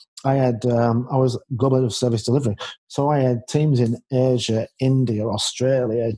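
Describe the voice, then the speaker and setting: A man with a Yorkshire accent speaks at medium pitch and a moderate pace, his tone dark and mellow. His intonation is monotone and flat, his loudness very even, and the sound is dry and close with no echo. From Yorkshire, northern England. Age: 50s. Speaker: leadership expert and author. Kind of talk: interview conversation.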